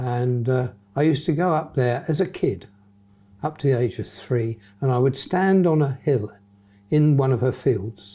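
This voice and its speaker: Somewhat breathy, with a dark, mellow tone, a man speaks at a medium pitch and moderate pace, with ordinary pitch variation and long, frequent pauses, on a very clean recording with a silent background. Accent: southern English. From southern England, Hampshire. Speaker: retired airline pilot. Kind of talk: interview.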